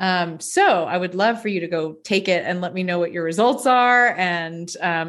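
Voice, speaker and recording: With an American accent, a woman talks at a moderate pace in a normal speaking voice and a medium pitch. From Tallahassee, Florida. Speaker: life coach, former opera singer. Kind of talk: casual interview chat.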